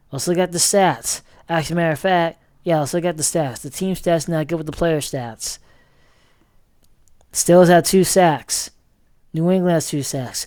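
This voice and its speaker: The speech keeps a moderate pace, broken by long, frequent pauses. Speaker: sports vlogger. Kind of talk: casual sports commentary vlog.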